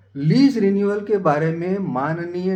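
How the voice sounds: Slow and slightly mellow, this man's voice carries audible room echo.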